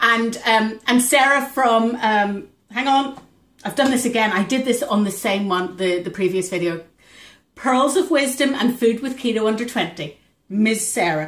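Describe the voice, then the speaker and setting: This woman's voice is fairly high and somewhat breathy. Her intonation is lively. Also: moderate pace. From Northern Ireland, near Belfast. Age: 40s. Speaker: vlogger. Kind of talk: casual chat. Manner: rambling with many fillers.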